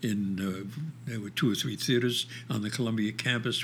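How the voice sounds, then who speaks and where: With a New York accent, a man is talking. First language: Yiddish. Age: 80s+. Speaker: theater director and actor. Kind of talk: interview.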